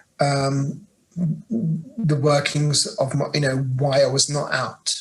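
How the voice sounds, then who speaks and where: Fairly high in pitch, a man speaks with a British accent. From England, Birmingham. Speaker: LGBTQ+ staff leader at an international organization. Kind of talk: interview. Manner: halting, many fillers.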